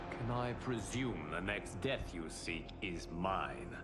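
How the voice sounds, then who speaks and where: Over loud background noise, a man uses a put-on character voice with a very deep, low pitch. He speaks at a fairly slow pace. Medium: game stream. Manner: calm, dignified.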